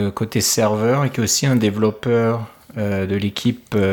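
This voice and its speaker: Very slow speech from a man, medium in pitch, with normal variation in pitch. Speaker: tech podcast co-host. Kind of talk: casual tech chat.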